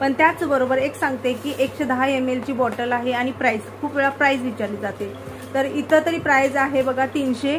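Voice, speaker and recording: With music in the background, a woman speaks in a high pitch with fairly even intonation. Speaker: vlogger. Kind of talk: product review talk. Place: home room. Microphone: phone near.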